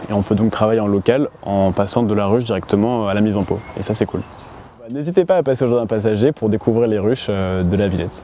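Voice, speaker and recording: Noticeable background noise sits behind a man talking at a very fast pace. His pitch is fairly low, with ordinary variation. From western France (Laval). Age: 20s. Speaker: beekeeper and student. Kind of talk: interview monologue. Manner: hesitant, many fillers.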